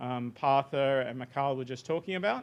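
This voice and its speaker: In an Australian accent, a man with a fairly high pitch talks at a fairly quick pace. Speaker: software researcher presenting a demo. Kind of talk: technical workshop presentation.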